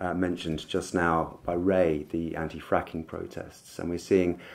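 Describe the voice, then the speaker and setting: A man speaks at a fairly slow pace in a very deep, low voice. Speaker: speaker. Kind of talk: conference speech. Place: hall. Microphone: podium.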